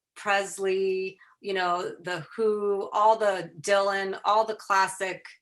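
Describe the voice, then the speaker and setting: A woman at a medium pitch with a slight Chicago accent, monotone, flat intonation and a very slow pace. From Chicago area, US Midwest. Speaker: photographer and fan telling her story. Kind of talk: podcast interview.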